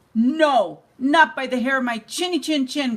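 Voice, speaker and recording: A growling, put-on character voice. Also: woman, high pitch for a woman, moderate pace, ordinary pitch variation. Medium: read story.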